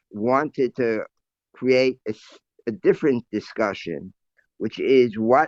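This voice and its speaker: Very slow speech from a man at medium pitch, its pitch varying in an ordinary way. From United States. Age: 80s+. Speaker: Orthodox rabbi. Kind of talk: interview answer.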